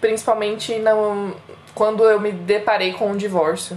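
Her intonation is monotone and flat. The speaker is a woman. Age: 30s. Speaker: podcast co-host, secretary. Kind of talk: casual chat.

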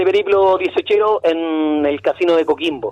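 A man with a Chilean accent talks at a fairly slow pace and a high pitch, with ordinary pitch variation. The sound is dry and close with no echo, though noticeable background noise is present. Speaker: radio host. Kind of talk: casual interview.

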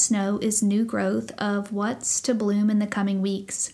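In a Southern US accent, the somewhat breathy voice moves at a fairly slow pace on a very clean recording with a silent background. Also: woman. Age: 30s. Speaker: podcast host. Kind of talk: personal storytelling monologue. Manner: casual, with fillers.

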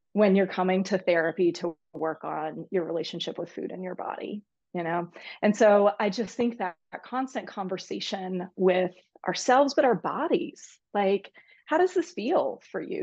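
Against a quiet background, a woman speaks in an unremarkable speaking voice at a medium pitch. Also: ordinary pitch variation, moderate pace. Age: 40s. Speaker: psychologist, eating disorders specialist. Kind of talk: casual interview.

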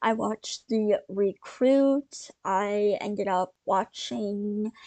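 A woman with a dark, mellow tone speaks at a very slow pace, the sound dry and close with no echo. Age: 20s. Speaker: podcaster. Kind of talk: casual monologue. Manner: halting, many pauses and fillers.

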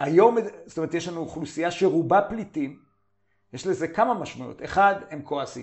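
The speaker keeps a moderate pace with ordinary pitch variation. Loudness swings widely throughout. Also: man, high pitch for a man. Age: 50s. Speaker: journal editor and commentator. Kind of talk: interview.

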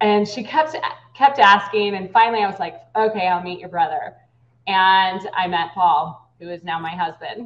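A woman's normal speaking voice at a medium pitch and moderate pace, with lively intonation and big swings in loudness. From US West Coast, San Francisco Bay Area. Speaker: political candidate. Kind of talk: interview.

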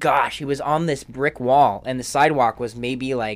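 An ordinary speaking voice at a fairly slow pace, with fairly even intonation. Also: man. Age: 20s. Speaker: podcast co-host. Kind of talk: casual chat.

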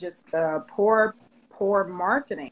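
A normal speaking voice carries an American accent. The pace is fairly slow and the intonation lively. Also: woman. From Chicago, South Side. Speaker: sports agency owner, former athlete. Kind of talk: casual interview chat. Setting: studio.

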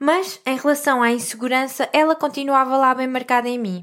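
A woman speaks in a high voice on a very clean recording with a silent background. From central Portugal (Vieira de Leiria). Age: 30s. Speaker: holistic coach and podcast host. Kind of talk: personal storytelling monologue.

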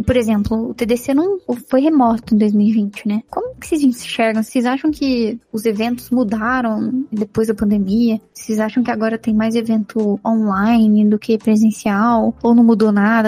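A woman's fairly high, somewhat breathy voice with fairly even intonation, in a dry, close sound with no echo. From Minas Gerais, Brazil. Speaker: podcast co-host, tech professional. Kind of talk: casual chat.

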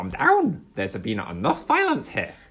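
The speech, done in a put-on character voice, moves at a moderate speed. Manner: calm, soothing.

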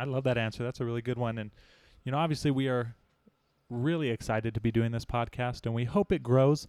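The recording is very clean with a silent background. A man talks at a very fast pace with fairly even intonation. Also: medium pitch for a man. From US West (Arizona, Utah). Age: 20s. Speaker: student podcast host. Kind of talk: casual chat.

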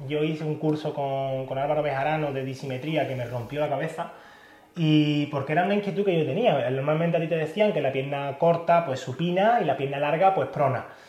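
There is audible room echo around a man with a fairly high pitch. He talks at a fairly quick pace with ordinary pitch variation. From Andalusia, Spain (Pilas, Seville). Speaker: podiatrist. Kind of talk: casual interview. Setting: his clinic.

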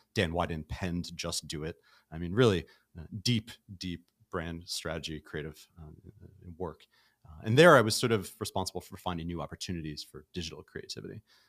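A man's very deep, low voice with an American accent, moderate pace, ordinary pitch variation and big swings in loudness, in a dry, close sound with no echo. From New York City (Brooklyn). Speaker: startup founder and CEO. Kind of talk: casual interview. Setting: studio.

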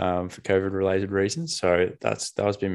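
A man with an Australian accent at a fairly quick pace, over a quiet background. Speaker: podcast co-host. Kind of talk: casual chat.

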